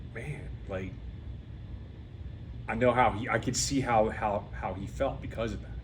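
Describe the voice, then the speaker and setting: A man's fairly low voice with vocal fry at a moderate pace, full of very wide pitch swings, big swings in loudness and long, frequent pauses, amid audible room echo. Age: 50s. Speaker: podcast host. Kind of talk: interview.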